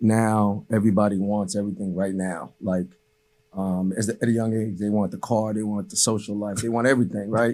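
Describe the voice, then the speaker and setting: With a Haitian accent, a man speaks at a moderate pace and fairly low pitch, his tone dark and mellow and his intonation monotone and flat. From Haiti, raised in Cambridge, Massachusetts. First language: Haitian Creole. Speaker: basketball coach. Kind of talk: interview. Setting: studio. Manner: many fillers and repetitions.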